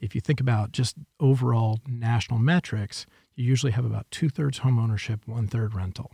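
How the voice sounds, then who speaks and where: The tone is dark and mellow, somewhat breathy, with ordinary pitch variation. Speech moves at a fairly quick pace, and the sound is dry and close with no echo. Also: man, medium pitch for a man. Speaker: economic development leader. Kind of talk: interview.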